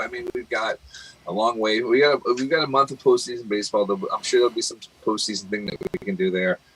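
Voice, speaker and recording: A man talks fairly quickly while noticeable background noise carries on around him. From Britain. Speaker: podcast co-host. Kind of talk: casual chat. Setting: live stream.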